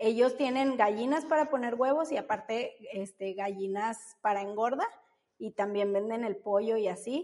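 Fairly slow speech with ordinary pitch variation. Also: woman, fairly high pitch for a woman. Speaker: baker and mother. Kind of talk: interview.

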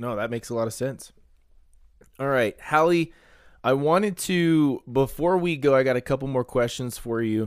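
The recording is very clean, with a silent background. A man speaks in an ordinary speaking voice with medium pitch at a moderate pace. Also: ordinary pitch variation. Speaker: sports podcast host. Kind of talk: casual interview chat.

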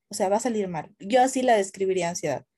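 A woman's somewhat breathy voice has a dark, mellow tone and a fairly high pitch. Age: 20s. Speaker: content creator. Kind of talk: casual chat.

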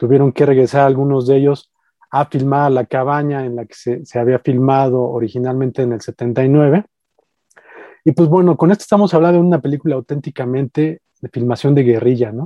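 At a moderate pace, a man with a Mexican accent and a medium pitch speaks with ordinary pitch variation and big swings in loudness. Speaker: podcast co-host, horror film critic. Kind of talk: casual chat. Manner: halting, many fillers.

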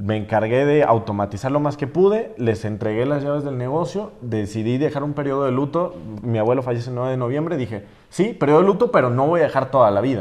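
A man talking at a very fast pace, medium in pitch, with lively intonation. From Mexico, Jalisco (San Juan de los Lagos). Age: 20s. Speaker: social media influencer. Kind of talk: interview podcast.

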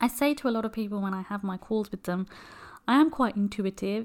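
A woman with a British accent speaks fairly quickly with ordinary pitch variation in a very clean recording with a silent background. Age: 30s. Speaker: careers advisor and podcast host. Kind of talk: solo advice podcast monologue. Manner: casual, with frequent fillers.

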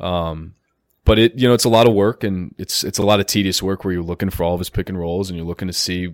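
Against a silent background in a very clean recording, a man with an American accent and a very deep, low pitch talks at a fairly quick pace with fairly even intonation. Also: dry, close sound with no echo. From Chicago area. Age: 20s. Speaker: basketball coach. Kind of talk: casual interview. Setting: studio.

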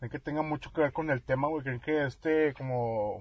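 At a moderate pace, a man with a somewhat breathy voice speaks with fairly even intonation. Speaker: podcast host. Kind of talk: casual chat.

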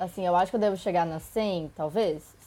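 This woman's tone is dark and mellow. She speaks at a moderate pace. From Brazil, São Bernardo do Campo (São Paulo area). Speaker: traveler, postcard collector. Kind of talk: casual chat.

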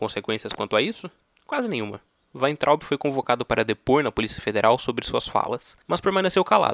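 With an ordinary speaking voice, a man talks at a fairly quick pace, medium in pitch with lively intonation, the sound dry and close with no echo. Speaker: podcast host. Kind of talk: scripted narration.

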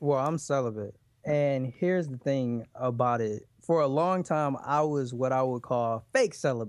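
The pace is moderate. A normal speaking voice shows ordinary pitch variation. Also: man, medium pitch for a man. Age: 30s. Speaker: relationship podcast host, guest. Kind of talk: interview.

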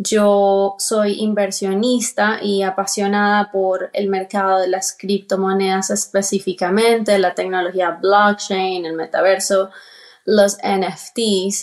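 Against a quiet background, a woman speaks at a very slow pace. Her delivery is monotone and flat. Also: medium pitch for a woman. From Colombia. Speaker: crypto investor. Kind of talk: interview.

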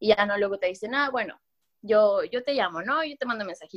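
Here a woman uses a normal speaking voice, fairly high in pitch with ordinary pitch variation. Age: 20s. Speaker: key account manager. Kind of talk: casual chat.

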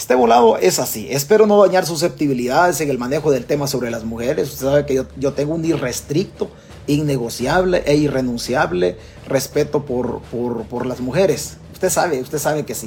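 An animated man with a Salvadoran accent, fairly high-pitched, with lively intonation at a fairly quick pace over noticeable background noise. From El Salvador. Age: 50s. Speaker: political commentator. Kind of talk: livestream commentary. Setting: Facebook live stream. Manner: repetitive, animated.

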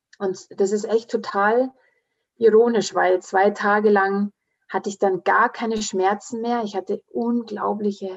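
Very slow and monotone, a woman speaks in flat intonation at a medium pitch. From Bavaria, Munich area; half Swiss, grew up in the mountains. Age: 40s. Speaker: naturopath and speaker. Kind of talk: interview, personal testimony.

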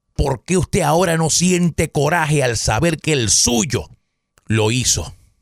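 Pitched fairly high, a man speaks at a fairly slow pace with vocal fry and very even loudness. His tone is animated and his intonation lively. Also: dry, close sound with no echo. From Puerto Rico, Caguas. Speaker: political podcast host. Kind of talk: political commentary monologue.

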